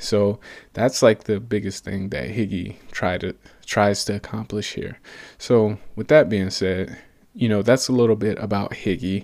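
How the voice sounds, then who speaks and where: A man's normal speaking voice, fairly low in pitch, with an American accent, ordinary pitch variation and a fairly slow pace on a very clean recording against a silent background. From US South (Atlanta, Georgia). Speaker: podcast host and startup co-founder. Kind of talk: solo business podcast monologue. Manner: casual, with frequent fillers and repetitions.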